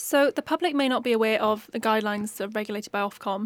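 On a very clean recording with a silent background and a dry, close sound with no echo, a woman with a South Wales accent talks at a fairly quick pace. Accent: South Wales Valleys English. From South Wales Valleys. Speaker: journalism student podcast host. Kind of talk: interview.

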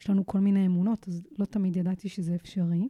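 Her tone dark and mellow, a woman at medium pitch is heard in a dry, close sound with no echo on a very clean recording with a silent background. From Israel, Kiryat Tivon. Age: 30s. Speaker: fitness and mental coach, podcast host. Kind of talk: solo motivational podcast monologue.

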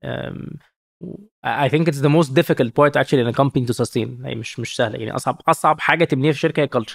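Very fast and with vocal fry, a man speaks at medium pitch with fairly even intonation in a dry, close sound with no echo. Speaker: startup founder and CEO. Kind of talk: interview, casual business chat. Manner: frequent fillers, code-switching English and Arabic.

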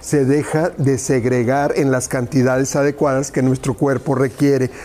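The tone is animated and the pace moderate, with noticeable background noise behind the speech. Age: 50s. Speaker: nutrition and cooking presenter. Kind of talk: sales pitch.

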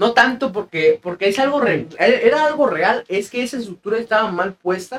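A man with a Mexican accent talks at a moderate pace with hardly any pauses. His voice is extremely high-pitched, with lively intonation. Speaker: podcast co-host. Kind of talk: casual chat.

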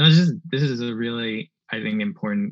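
A man speaks with a New York accent and lively intonation. The sound is dry and close with no echo, and the background is quiet. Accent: New York American. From Queens, New York (Bangladeshi immigrant family). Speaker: family medicine physician. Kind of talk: interview. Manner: halting, many fillers.

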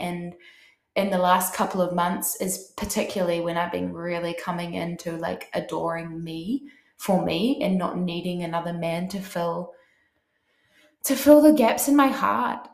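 Audible room echo surrounds a woman's fairly low voice. She speaks at a moderate pace. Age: 30s. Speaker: podcast host, coach. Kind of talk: casual solo monologue. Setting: bathtub at home. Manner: animated.

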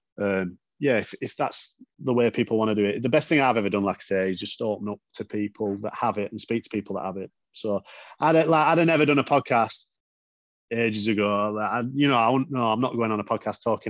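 Speaking very fast with a Yorkshire accent, a man keeps a medium pitch and ordinary pitch variation, the sound dry and close with no echo. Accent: northern English (Yorkshire-type). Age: 30s. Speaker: patient advocate and car enthusiast. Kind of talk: casual interview.

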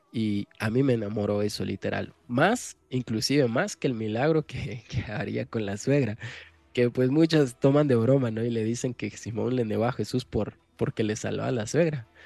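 A man's voice has a dark, mellow tone. The sound is dry and close, with no echo at all. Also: medium pitch for a man, ordinary pitch variation, moderate pace. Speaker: podcast co-host. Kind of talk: casual chat.

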